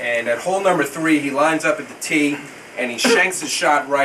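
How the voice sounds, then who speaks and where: With an American accent, a man talks fairly fast. Noticeable background noise can be heard behind him. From New York, the Bronx, then Houston, Texas. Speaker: son giving a birthday toast. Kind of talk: birthday speech with a joke.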